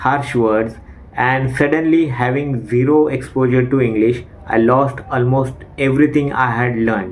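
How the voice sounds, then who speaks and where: A man's medium-pitched voice with an Indian accent, fairly slow in pace and ordinary in pitch variation, amid noticeable background noise and audible room echo. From India, Maharashtra. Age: 40s. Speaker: English learner and YouTuber. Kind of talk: personal testimony. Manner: speech disfluency.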